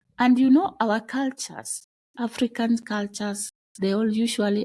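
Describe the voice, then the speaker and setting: Speaking at a fairly slow pace, a woman has a fairly high pitch. Her tone is dark and mellow and somewhat breathy. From Kenya, Luo community. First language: Dholuo (Kijaluo). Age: adult mother. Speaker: podcast guest sharing life story. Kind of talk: personal testimony interview. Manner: halting, with restarts.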